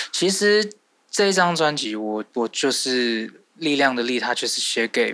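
Bright and sharp in tone, a man speaks with very wide pitch swings. His pace is fairly slow. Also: fairly high pitch for a man. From Taiwan, Taipei. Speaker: singer-songwriter and producer. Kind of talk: interview.

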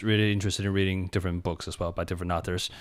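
A man with a Chinese accent, fairly even intonation, on a very clean recording with a silent background. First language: Mandarin Chinese. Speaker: English teacher, cram school founder. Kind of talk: interview. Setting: radio studio.

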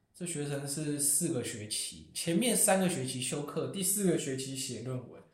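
This is an unremarkable speaking voice: a man at a fairly high pitch, with ordinary pitch variation. He keeps a moderate pace with hardly any pauses and big swings in loudness. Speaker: international graduate student. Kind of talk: casual chat.

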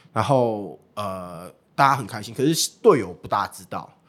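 A man with a normal speaking voice talks at a medium pitch with lively intonation, captured in a very clean recording against a silent background. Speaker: baseball team livestream host and former interpreter. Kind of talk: casual interview chat.

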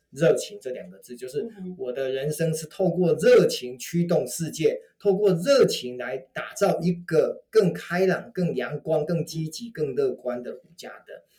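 A man with a high pitch talks at a fairly slow pace, his tone animated, his intonation lively and his loudness swinging widely. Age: 50s. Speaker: author and networking speaker. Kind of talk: interview.

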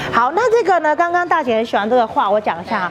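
A woman's voice swings very widely in pitch while music plays in the background. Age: 40s. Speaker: tour guide at family food factory. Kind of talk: guided tour.

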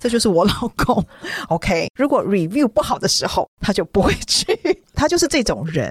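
A woman speaks at a moderate pace and medium pitch in an animated, somewhat breathy tone with very wide pitch swings. Her loudness stays very even, and the sound is dry and close with no echo. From Taiwan. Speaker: children's book author. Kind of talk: casual chat.

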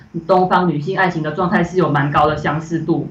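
Noticeable background noise and audible room echo surround the recording. A woman speaks at a fairly quick pace with fairly even intonation. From Malaysia. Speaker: animation director. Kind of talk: interview. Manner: hesitant, many fillers.

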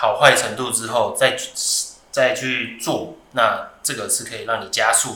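Speaking at a fairly slow pace with a Taiwanese accent, a man swings widely in loudness, with audible room echo and noticeable background noise. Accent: Taiwanese Mandarin. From Taiwan, Taoyuan. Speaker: podcast host. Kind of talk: casual chat.

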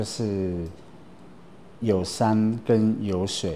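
This man's voice sits fairly low. It has a dark, mellow tone. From Taiwan, Atayal mountain village (Taoyuan, Fuxing district). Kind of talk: interview monologue. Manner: casual with frequent fillers.

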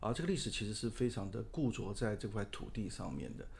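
A man with a medium-pitched voice speaks at a fairly quick pace. Audible echo from the room surrounds his words. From Taiwan, Taipei. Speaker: architect. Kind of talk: interview.

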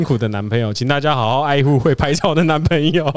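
Using a plain, everyday voice, a man speaks fairly high in pitch with ordinary pitch variation at a fairly quick pace. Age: 30s. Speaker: photographer and business owner. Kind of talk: interview.

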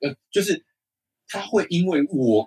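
A man with a Taiwanese accent is heard in a dry, close sound with no echo. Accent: Taiwanese Mandarin. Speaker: podcast co-host. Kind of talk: casual chat. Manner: animated.

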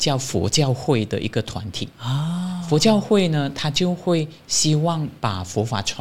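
Somewhat breathy, a man speaks at a fairly slow pace in a fairly high pitch, with very wide pitch swings. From Malaysia. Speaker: Buddhist monastic. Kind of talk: interview. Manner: cheerful.

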